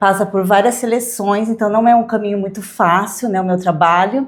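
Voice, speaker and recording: Speaking with a São Paulo accent, a woman talks at a fairly slow pace. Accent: Brazilian Portuguese, São Paulo. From Brazil, São Paulo area (Santo André). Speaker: modeling agency representative. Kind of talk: interview.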